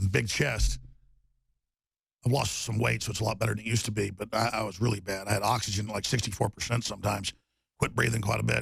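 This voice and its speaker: A man with vocal fry and a fairly low pitch, talking at a very fast pace with fairly even intonation and long, frequent pauses. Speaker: radio host. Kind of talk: talk radio monologue.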